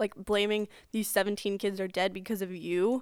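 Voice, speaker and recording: In a very clean recording with a silent background, a woman talks at a moderate pace with an unremarkable speaking voice at medium pitch. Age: 20s. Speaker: student podcast co-host. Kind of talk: casual political discussion.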